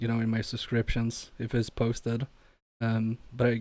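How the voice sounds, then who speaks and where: Speaking at a fairly slow pace, a man has a dark, mellow tone and a medium pitch. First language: not English (Polish or Swedish). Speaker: electronics repair streamer. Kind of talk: casual livestream chat while repairing. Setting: livestream from home workbench. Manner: halting, many fillers and restarts.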